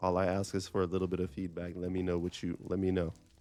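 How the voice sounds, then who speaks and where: The recording is very clean, with a silent background. A man speaks at a fairly quick pace. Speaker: gaming YouTuber. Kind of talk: casual gameplay commentary. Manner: loud.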